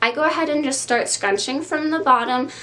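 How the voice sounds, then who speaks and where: There is audible room echo around the woman's voice. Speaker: curly hair YouTuber. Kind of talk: tutorial. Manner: casual, with frequent um fillers.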